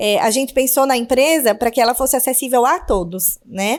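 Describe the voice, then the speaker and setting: A moderate pace in an Alagoas accent. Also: woman. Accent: northeastern Brazilian (Alagoas). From Northeast Brazil, Maceió, Alagoas. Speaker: podcast host, businesswoman and mother. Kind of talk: casual podcast chat.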